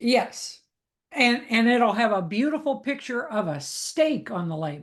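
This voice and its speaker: Against a quiet background, a woman speaks at a fairly slow pace with vocal fry. Her fairly high pitch moves in very wide swings. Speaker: pet food consumer advocate. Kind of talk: interview conversation.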